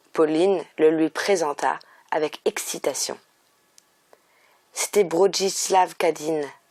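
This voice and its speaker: A woman speaks very slowly with long, frequent pauses, a calm, soothing tone, fairly even intonation and a fairly low pitch, the sound dry and close with no echo. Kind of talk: audiobook reading.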